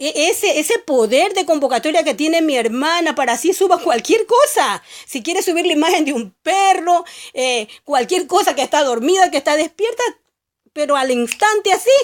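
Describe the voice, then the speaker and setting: This woman's voice sits extremely high, with very wide pitch swings. She speaks at a moderate pace. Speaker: lay Bible teacher. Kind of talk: religious monologue. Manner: halting, self-correcting.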